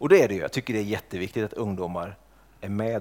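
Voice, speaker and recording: A man speaks with fairly even intonation at a fairly low pitch. He has a plain, everyday voice. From Sweden, Norrköping. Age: 30s. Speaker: church teacher. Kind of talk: lecture.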